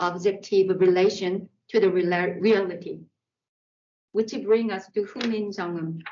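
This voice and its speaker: A woman speaks with a Korean accent. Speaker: artist. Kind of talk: artist talk. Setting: art center exhibition.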